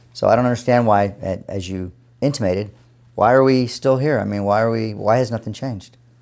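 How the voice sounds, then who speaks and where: Over a very clean recording with a silent background, a man talks in a plain, everyday voice. His pitch is medium, his intonation fairly even and his pace fairly quick. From Texas (San Antonio). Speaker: dentist. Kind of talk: interview.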